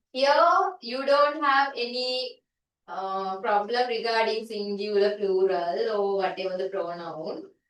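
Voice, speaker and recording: Recorded with audible room echo, a woman talks at a fairly slow pace in a medium pitch with ordinary pitch variation. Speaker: teacher. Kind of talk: lecture.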